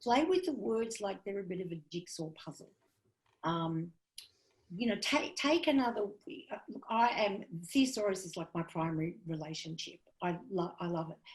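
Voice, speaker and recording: A woman speaks at a moderate pace and medium pitch. She sounds somewhat breathy, with lively intonation. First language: not English. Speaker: comedian and comedy writing teacher. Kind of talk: workshop lecture.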